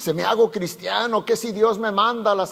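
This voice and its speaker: A man talks over noticeable background noise. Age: 70s. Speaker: pastor. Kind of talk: sermon. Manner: casual, halting with many fillers and self-corrections.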